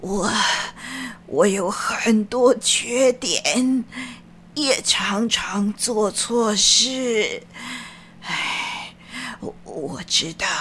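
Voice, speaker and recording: A woman's fairly high voice at a very slow pace, with long, frequent pauses and clear background noise. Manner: humble, stammering, sighing.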